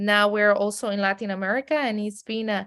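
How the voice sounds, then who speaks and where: In a very clean recording with a silent background, a woman with a strong Mexican accent speaks at a fairly quick pace. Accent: heavy Mexican Spanish. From Mexico City, then raised in San Diego. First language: Spanish. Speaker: streaming company executive. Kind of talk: podcast interview.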